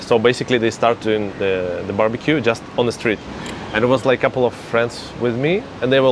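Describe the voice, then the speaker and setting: Noticeable background noise sits behind a man talking fairly quickly at a medium pitch. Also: very even loudness. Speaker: interviewer. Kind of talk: casual conversation.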